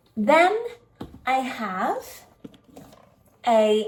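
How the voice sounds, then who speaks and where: With a British accent, a woman speaks in a high voice. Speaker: English teacher. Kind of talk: casual talk to camera. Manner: slow, clear.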